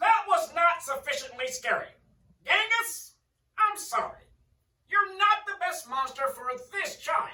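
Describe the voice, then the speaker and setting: A put-on character voice at an extremely high pitch and fairly slow pace, with slight echo. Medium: read story. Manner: formal, instructive.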